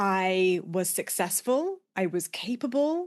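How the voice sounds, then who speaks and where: Against a quiet background, a woman of medium pitch speaks with a British accent. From UK. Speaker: business coach, podcast host. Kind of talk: solo podcast monologue.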